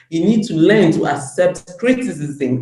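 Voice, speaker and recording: A woman's somewhat breathy voice, dark and mellow in tone, moves at a fairly slow pace with lively intonation. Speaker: women's empowerment advocate. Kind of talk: interview.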